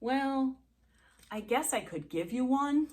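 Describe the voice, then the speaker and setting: A woman puts on a high-pitched character voice with lively intonation at a fairly slow pace. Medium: read story. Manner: gruff, shouting.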